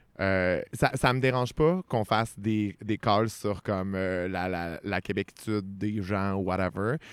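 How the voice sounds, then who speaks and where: A man with a Quebec accent and fairly low pitch speaks at a very slow pace with ordinary pitch variation, on a very clean, dry, close recording with no echo and a silent background. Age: 20s. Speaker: podcast host. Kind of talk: casual chat.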